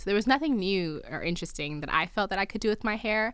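Speaking with a New Jersey accent, a woman has a bright, sharp tone. Her pitch varies in an ordinary way. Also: very clean recording, silent background. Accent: American, New Jersey. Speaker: PhD student and lifestyle blogger. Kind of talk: interview. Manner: talkative.

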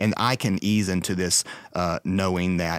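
A man with an American accent speaks in a very deep, low pitch with fairly even intonation. The recording is very clean, with a silent background. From Texas. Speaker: architectural photographer. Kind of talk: casual interview.

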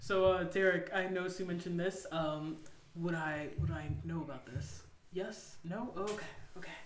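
Noticeable background noise behind a woman's moderately paced speech, her intonation fairly even. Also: fairly low pitch for a woman. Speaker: podcast co-host and player. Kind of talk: casual podcast discussion.

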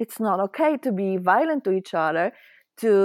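In a Polish accent, this voice moves at a fairly slow pace with lively intonation. The sound is dry and close with no echo, on a very clean recording with a silent background. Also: woman. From Poland. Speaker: spiritual teacher. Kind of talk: interview. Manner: halting.

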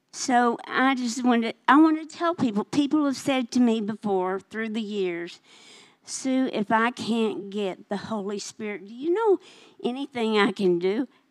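Speaking in a Southern US accent, a woman uses a fairly high pitch and lively intonation. Her pace is moderate, and her loudness swings widely. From Arkansas, near Little Rock. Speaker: minister's wife sharing testimony. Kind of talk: testimony. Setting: church service.

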